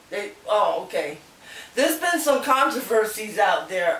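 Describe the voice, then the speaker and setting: A woman's voice moves in very wide pitch swings. There is noticeable background noise. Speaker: channel host interviewer. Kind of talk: interview questions to camera.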